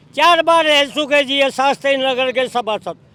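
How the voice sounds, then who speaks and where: A man speaks at an extremely high pitch. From western Uttar Pradesh. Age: 70s. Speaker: villager. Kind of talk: interview.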